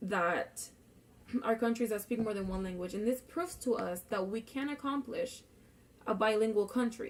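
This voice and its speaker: Pitched fairly high, a woman talks with a Spanish accent. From Puerto Rico. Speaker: student. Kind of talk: class speech. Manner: casual, with fillers.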